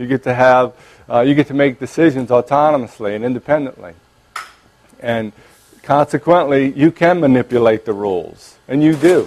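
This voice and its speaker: A man speaks with a New Orleans accent, his voice dry and close with no echo. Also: medium pitch for a man, ordinary pitch variation, moderate pace. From New Orleans, Louisiana. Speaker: clinical psychologist and lecturer. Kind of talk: lecture. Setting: conference room with audience, microphone. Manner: hesitant, many fillers and restarts.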